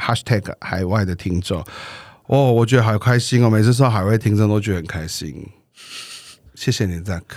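A man with a Taiwanese accent and a fairly low pitch talks at a moderate pace with ordinary pitch variation and long, frequent pauses, in a very clean recording with a silent background. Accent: Taiwanese Mandarin. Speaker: podcast co-host. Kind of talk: casual chat. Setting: studio. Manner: playful.

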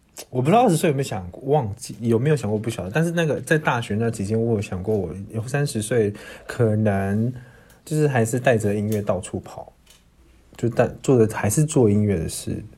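A man talks at a fairly quick pace with a medium pitch and ordinary pitch variation. His voice is somewhat breathy, with a dark, mellow tone. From Taiwan, Taitung. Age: 30s. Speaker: singer and performer. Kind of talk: casual chat.

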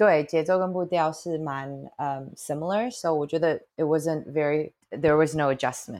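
Against a quiet background, a woman with a very deep, low pitch speaks at a moderate pace with ordinary pitch variation. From Toronto, Canada (from age 8, born in Taitung). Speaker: café owner and chef. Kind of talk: interview, casual chat.

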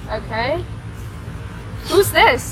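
A woman speaks very slowly with music in the background and audible room echo. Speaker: student podcast co-host. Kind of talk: casual chat. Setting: outdoors on campus.

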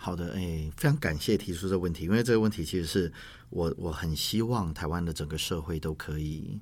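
Very deep and low in pitch, a man talks fairly quickly with ordinary pitch variation. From Taiwan, Yunlin County. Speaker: language teacher and school administrator. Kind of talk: interview.

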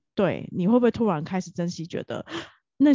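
Talking at a fairly quick pace, a woman with a plain, everyday voice uses lively intonation. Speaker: podcast co-host. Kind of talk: casual chat. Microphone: new professional microphone.

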